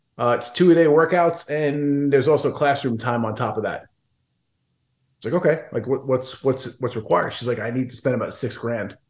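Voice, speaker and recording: There's a quiet background as a man talks in a normal speaking voice at a fairly quick pace, medium in pitch with ordinary pitch variation. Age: 40s. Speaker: business coach. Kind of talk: casual interview chat.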